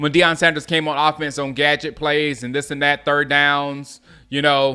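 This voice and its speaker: The tone is bright and sharp. It belongs to a man with an American accent. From US South, Gaffney, South Carolina. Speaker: sports fan streamer. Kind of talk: live watch-along commentary. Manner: casual, halting with restarts.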